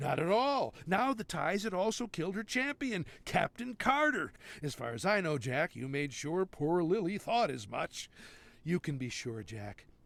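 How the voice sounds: Putting on a character voice, a man speaks fairly slowly at a fairly high pitch, with vocal fry, big pitch swings and a fairly bright tone.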